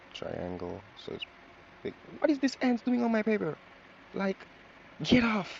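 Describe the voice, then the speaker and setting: Long, frequent pauses break up a man's fairly slow speech in a Jamaican accent, with noticeable background noise behind him. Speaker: drawing tutorial creator. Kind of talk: tutorial. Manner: casual, chatty.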